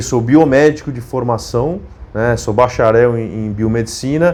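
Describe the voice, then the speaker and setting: This is a man talking. His pitch rises and falls in an ordinary way. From São Paulo city, Brazil (partly Monte Alto, interior SP). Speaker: YouTuber, biomedical scientist. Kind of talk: casual vlog chat. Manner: hesitant, many fillers.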